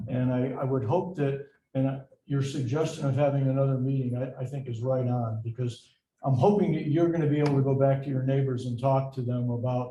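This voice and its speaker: The speaker is a man with a medium pitch. He moves along at a fairly quick pace. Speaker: city council member. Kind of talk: public meeting remarks. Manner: loud.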